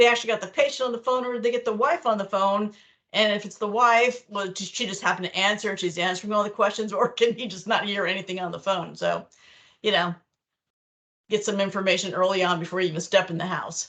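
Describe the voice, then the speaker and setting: A woman with an American accent talks very fast at a medium pitch, her pitch varying in an ordinary way. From New York. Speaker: clinical documentation trainer. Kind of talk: online training lecture. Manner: casual, conversational.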